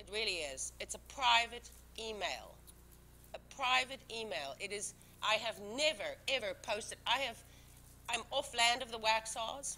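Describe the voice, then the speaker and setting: A woman's bright, sharp voice with vocal fry, at a fairly slow pace. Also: fairly high pitch for a woman, ordinary pitch variation. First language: not English. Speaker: town board member. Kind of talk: heated debate. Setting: public meeting. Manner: animated.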